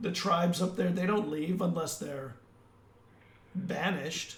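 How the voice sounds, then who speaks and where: A man's put-on character voice, raspy and high-pitched, at a moderate pace with audible echo. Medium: actual play. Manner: cool, insinuating.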